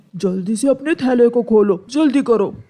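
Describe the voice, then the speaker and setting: A cartoonish character voice at a fairly high pitch moves along at a moderate pace. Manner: coaxing, sly.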